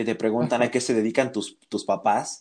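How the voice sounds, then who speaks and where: With an ordinary speaking voice, a man talks fairly quickly at a medium pitch over a quiet background. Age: 20s. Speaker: graphic designer. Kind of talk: casual interview conversation.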